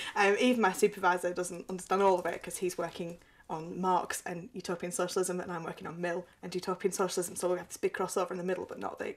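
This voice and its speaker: Amid noticeable background noise, a woman with a medium pitch talks at a very fast pace. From northern England, Burnley, Lancashire. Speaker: doctoral student. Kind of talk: testimony. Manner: casual, conversational.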